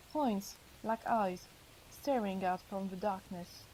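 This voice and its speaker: A woman's somewhat breathy, dark and mellow voice in a French accent, fairly slow in pace, with ordinary pitch variation. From France. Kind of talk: audiobook reading.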